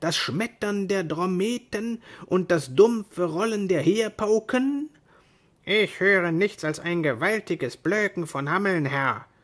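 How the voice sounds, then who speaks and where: The speech goes at a very slow pace on a very clean recording with a silent background. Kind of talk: dramatic narration of a tale, reading aloud. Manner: dramatic, animated, voicing characters; expressive storytelling with changing tone.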